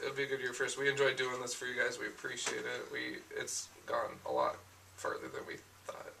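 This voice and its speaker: A man speaks fairly quickly against clear background noise. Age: 20s. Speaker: comic book show co-host. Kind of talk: casual chat.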